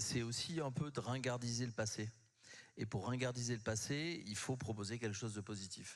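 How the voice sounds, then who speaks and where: In a very clean recording with a silent background, a man with a southwestern French accent speaks at a moderate pace with ordinary pitch variation. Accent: southwest French. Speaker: communications consultant. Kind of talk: panel discussion. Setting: conference stage with audience.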